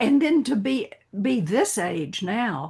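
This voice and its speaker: A woman in an American accent, fairly high in pitch, with very wide pitch swings against a quiet background. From Texas. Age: 80s+. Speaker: actress. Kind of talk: casual chat.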